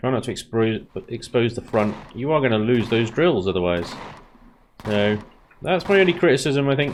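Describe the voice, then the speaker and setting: With a British accent and lively intonation, a man talks with long, frequent pauses. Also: medium pitch for a man, moderate pace. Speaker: gaming YouTuber. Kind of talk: gameplay commentary. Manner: casual.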